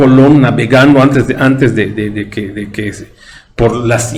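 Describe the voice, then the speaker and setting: A man's medium-pitched voice in a Yucatecan accent, at a fairly slow pace, with ordinary pitch variation and audible room echo. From Yucatán, Mexico. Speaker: history commentator on a talk show. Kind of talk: casual chat. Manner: halting.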